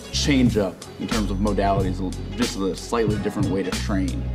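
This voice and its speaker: Clear music plays behind a man who is talking. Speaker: gym coach. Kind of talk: tutorial. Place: gym.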